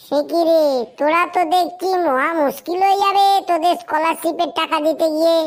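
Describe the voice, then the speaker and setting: Putting on a squeaky, cartoonish character voice in an extremely high pitch, a woman talks at a moderate pace with very even loudness and monotone, flat intonation. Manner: brisk, impatient.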